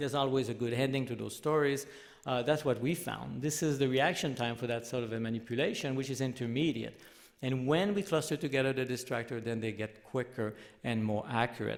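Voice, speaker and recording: A man with a Quebec accent talks at a fairly quick pace in a medium pitch. Room echo can be heard. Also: ordinary pitch variation. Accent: French Canadian accent in English. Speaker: professor. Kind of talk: lecture. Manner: halting.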